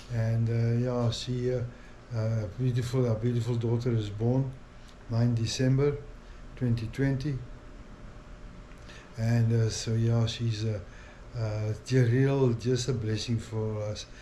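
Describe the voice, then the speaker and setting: A man speaks fairly slowly at a medium pitch, in a flat monotone with long, frequent pauses. There is audible echo from the room. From South Africa. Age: 60s. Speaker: family vlogger. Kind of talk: casual vlog monologue. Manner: halting, many fillers.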